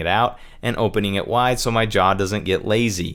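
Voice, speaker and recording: A man mumbles. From Utah. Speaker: video producer. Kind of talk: tutorial. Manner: mumbles naturally; casual.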